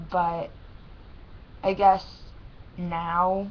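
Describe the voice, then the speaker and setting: The delivery is monotone and flat, and audible room echo surrounds it. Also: woman. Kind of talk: personal webcam vlog. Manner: halting.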